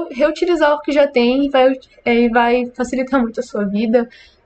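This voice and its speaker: This woman's voice is high, and her speed is moderate. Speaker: student developer teaching classmates. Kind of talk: screen-recorded coding tutorial. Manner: casual, with fillers.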